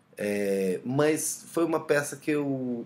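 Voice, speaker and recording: With a Colombian accent, a man talks in very wide pitch swings. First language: Spanish (speaking Portuguese). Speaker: playwright. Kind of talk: self-interview about own play. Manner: halting, many fillers.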